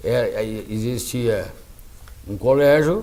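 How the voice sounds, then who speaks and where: A man at a very slow pace amid audible room echo. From southern Brazil, Rio Grande do Sul (Lagoa Vermelha region). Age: 70s. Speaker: lawyer. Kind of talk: interview. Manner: halting.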